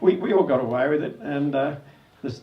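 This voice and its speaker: Amid noticeable background noise and audible room echo, a man with an Australian accent speaks at a moderate pace in a fairly high pitch. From Australia, Sydney (Sans Souci). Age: 70s. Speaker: spearfishing club founder. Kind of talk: anniversary speech. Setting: club event with audience. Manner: casual, hesitant with fillers.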